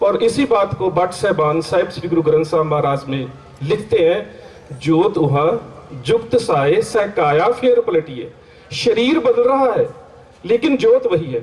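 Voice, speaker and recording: There is noticeable background noise as a man speaks with a Punjabi accent. His pitch is high, with very wide swings. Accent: Punjabi-accented Hindi. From Punjab, India (Amritsar). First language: Punjabi (speaking Hindi). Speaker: Sikh scholar and lecturer. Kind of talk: religious seminar lecture. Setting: seminar hall with audience.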